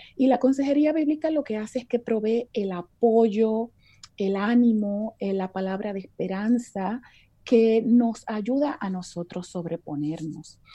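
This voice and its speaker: Against a quiet background, a woman speaks at a fairly high pitch. Her tone is dark and mellow, her intonation lively. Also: fairly slow pace. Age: 50s. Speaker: biblical counselor. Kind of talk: interview.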